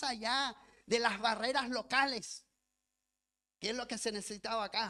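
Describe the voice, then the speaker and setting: A man projects his voice in a bright, sharp tone. His intonation stays fairly even. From lived in Chile as a child, raised elsewhere. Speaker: pastor and missionary. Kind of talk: sermon. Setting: church. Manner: reading from notes.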